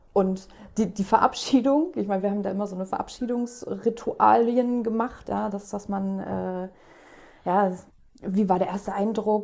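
At a moderate pace, a woman speaks in a medium pitch with a dark, mellow tone and fairly even intonation. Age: 30s. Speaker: guest with mental illness experience. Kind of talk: casual chat.

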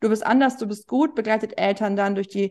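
In an ordinary speaking voice, a woman talks at a moderate pace with fairly even intonation. Her pitch is fairly high, and the background is quiet. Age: 40s. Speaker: journalist and parenting author. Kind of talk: interview.

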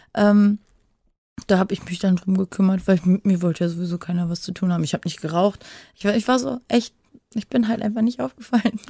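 A very fast, somewhat breathy woman's voice at a medium pitch, dark and mellow in tone, with ordinary pitch variation and a dry, close sound with no echo. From western Germany. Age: 30s. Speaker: adult film performer. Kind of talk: casual interview. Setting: separate recording room.

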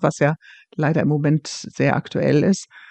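A woman with a very deep, low pitch. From Germany. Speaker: police officer. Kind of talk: interview. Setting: remote call.

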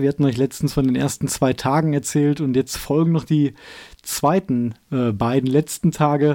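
At a moderate pace, a man talks with a dark, mellow tone. His pitch is fairly high, and his intonation is fairly even. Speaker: outdoor podcast co-host. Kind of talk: casual chat.

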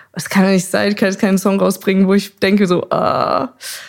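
A woman talks at a very fast pace. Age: 30s. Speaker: singer and photographer. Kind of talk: casual chat. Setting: living room at home.

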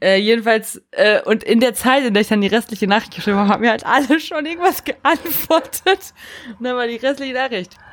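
A woman talks at a fairly quick pace. Her high voice has lively intonation. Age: 30s. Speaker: podcast co-host. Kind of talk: casual chat.

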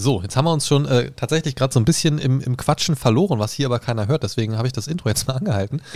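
A man talks at a very fast pace with hardly any pauses, his voice somewhat breathy at a medium pitch. His pitch varies in an ordinary way over a very clean recording with a silent background. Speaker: podcast co-host. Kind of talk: casual chat. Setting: recording at his home.

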